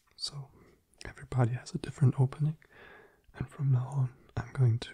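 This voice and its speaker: A man's soft-spoken, somewhat breathy whispering at a fairly quick pace, against a quiet background. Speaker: ASMR creator. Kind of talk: ASMR board game play. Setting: binaural recording. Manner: soft-spoken, whispering. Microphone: studio mic.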